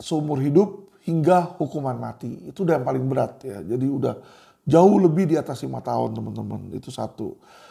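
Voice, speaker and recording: A man talks at a moderate pace. The background is silent and the recording very clean. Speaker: lawyer and commentator. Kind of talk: monologue commentary to viewers. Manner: casual, with frequent fillers.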